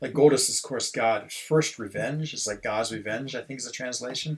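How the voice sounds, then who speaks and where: Fairly quick speech from a man in an American accent. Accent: sounds very American. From Switzerland (French-speaking) and US. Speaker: gaming streamer. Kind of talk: casual live-stream commentary. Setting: at home. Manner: animated.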